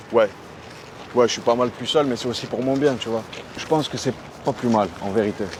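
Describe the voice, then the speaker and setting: Relaxed in tone, a man talks at a fairly quick pace with a medium pitch and ordinary pitch variation. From Aubagne, near Marseille, France. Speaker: rapper. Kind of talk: interview answer. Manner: casual, relaxed.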